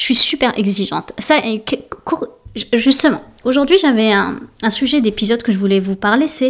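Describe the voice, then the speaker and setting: A woman's fairly high voice in a French accent, moderate in pace, with ordinary pitch variation. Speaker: podcast host and life coach. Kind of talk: solo casual monologue. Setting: alone in home office. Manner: halting, many fillers.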